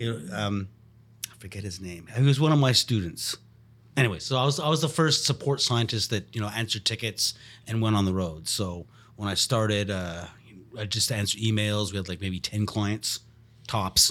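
A man with an unremarkable speaking voice talks at a moderate pace, his fairly low pitch moving with ordinary variation, on a very clean recording with a silent background. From Montreal, Canada. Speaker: podcast co-host, scientist. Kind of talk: casual chat.

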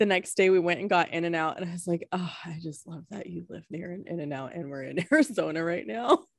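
With a plain, everyday voice and fairly low pitch, a woman talks at a fairly quick pace with hardly any pauses. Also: ordinary pitch variation. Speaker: podcast host. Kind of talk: casual chat.

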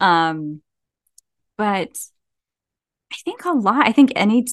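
With a New Jersey accent, a woman speaks at a fairly slow pace with lively intonation. The background is quiet and the sound is dry and close, with no echo. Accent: New Jersey American. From US Northeast (New Jersey). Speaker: horror author. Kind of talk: casual interview.

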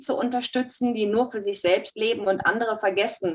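Fairly high in pitch, a woman speaks at a fairly quick pace with fairly even intonation. Noticeable background noise sits behind her. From Stuttgart, Germany. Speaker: study group participant. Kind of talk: group discussion.

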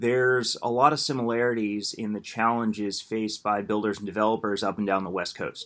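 A man with an American accent and a normal speaking voice talks fairly quickly at a medium pitch, with fairly even intonation and hardly any pauses. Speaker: housing policy director, builders association. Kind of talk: casual interview.

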